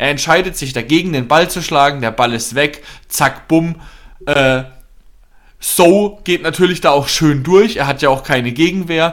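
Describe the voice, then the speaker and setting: In an ordinary speaking voice, a man with fairly high pitch and ordinary pitch variation talks at a fairly slow pace. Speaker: football podcast co-host, fan. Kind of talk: angry rant about a team's bad match, heated football analysis. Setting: studio podcast recording.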